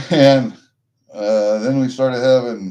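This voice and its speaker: A man speaks with an American accent. His tone is dark and mellow. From US Midwest, Iowa. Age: 60s. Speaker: livestreamer, coin collector. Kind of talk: casual chat. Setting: livestream. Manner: rambling, profane.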